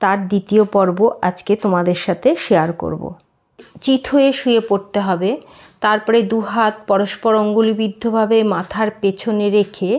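A woman with a plain, everyday voice, medium in pitch, with fairly even intonation. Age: 50s. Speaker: yoga vlogger. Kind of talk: tutorial.

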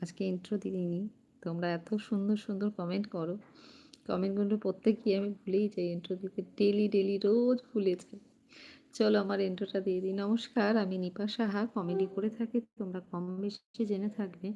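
A woman's medium-pitched voice in a flat monotone. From West Bengal, Hooghly district (Serampore). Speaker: comedian and livestreamer. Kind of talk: casual livestream chat reading comments.

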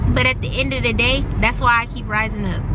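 Loud background noise sits under a dry sound with no echo. A woman talks at a very fast pace. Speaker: vlogger. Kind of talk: casual vlog chat. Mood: venting, then upbeat. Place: car.

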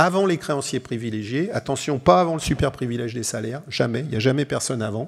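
This man talks at a very fast pace with medium pitch. His pitch varies in an ordinary way. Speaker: chartered accountant and auditor. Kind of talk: conference workshop presentation. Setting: conference hall with audience.

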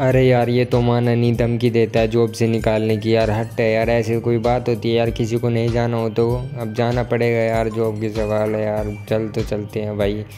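A man rattles off lines in a put-on character voice at a fairly quick pace, with hardly any pauses. His medium-pitched voice is rumbling, and clear music plays in the background. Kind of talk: casual let's-play commentary. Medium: machinima. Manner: nervous, grumbling, comic fear.

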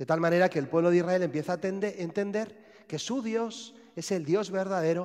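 A man with a Spanish accent speaks at a fairly slow pace and a high pitch for a man. His pitch varies in an ordinary way, and the background is quiet. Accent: Spanish (Spain). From Spain. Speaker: priest. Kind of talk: sermon. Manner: halting. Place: church.

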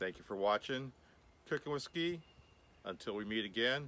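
A man talks with a bright, sharp tone in a dry sound that has no echo. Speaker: cooking channel host. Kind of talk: video outro to viewers. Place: garden.

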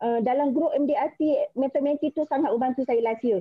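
Over a quiet background, a woman with a Malaysian accent speaks at a high pitch with ordinary pitch variation. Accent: Malaysian Malay. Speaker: insurance agent. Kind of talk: motivational talk. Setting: video call. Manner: nervous. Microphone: video call.

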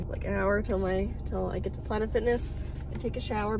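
A woman speaks at a fairly quick pace with music playing in the background. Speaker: travel vlogger. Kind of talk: casual vlog chat. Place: car. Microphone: phone near.

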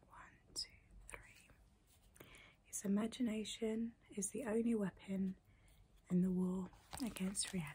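At a fairly slow pace and with long, frequent pauses, a woman speaks in a dark, mellow, somewhat breathy tone with fairly even intonation. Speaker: video creator. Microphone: phone near.

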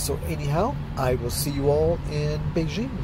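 A man's voice sounds dry, with no echo. Loud background noise is heard behind it. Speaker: traveler vlogger. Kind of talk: casual vlog chat. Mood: enthusiastic, reflective. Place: car. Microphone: phone near.

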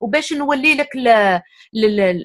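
Lively intonation marks the high-pitched voice of a woman. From Algeria. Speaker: guest speaker on psychology. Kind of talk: casual interview discussion.

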